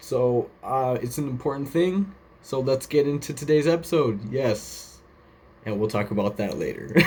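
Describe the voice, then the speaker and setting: A man speaks at medium pitch. Noticeable background noise runs underneath. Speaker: podcast host. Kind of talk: casual commentary show. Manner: fast.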